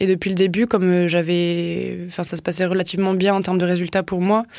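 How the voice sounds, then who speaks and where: Speaking at a fairly quick pace, a woman keeps her medium pitch in a monotone, flat intonation. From southwest France, Tarn. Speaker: social enterprise co-founder. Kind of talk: casual interview. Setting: studio.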